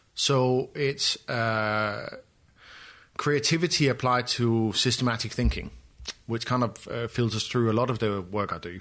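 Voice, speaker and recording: Using a Danish accent, the man keeps a medium pitch with ordinary variation and moves at a fairly slow pace. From Denmark, Copenhagen. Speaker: photographer and artist. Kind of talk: interview conversation. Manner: hesitant, many fillers.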